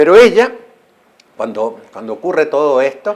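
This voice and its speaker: A man's fairly high-pitched voice with vocal fry and very wide pitch swings. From Chile, Santiago. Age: 70s. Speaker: journalist and writer. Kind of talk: interview.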